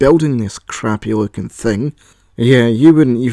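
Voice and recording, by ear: A natural voice reads aloud, its pitch shifting in an ordinary way.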